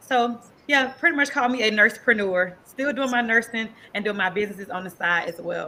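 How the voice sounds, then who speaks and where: With a slight Southern US accent, a woman talks at a fairly quick pace, her pitch fairly high and its variation ordinary. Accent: slight country Southern. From US South, north Florida (Quincy, then Tampa). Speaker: nurse and entrepreneur. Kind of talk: interview. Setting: podcast show.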